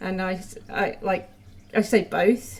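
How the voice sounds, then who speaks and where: A woman talks with vocal fry. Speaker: vlogger. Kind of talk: casual monologue vlog. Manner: hesitant, many fillers.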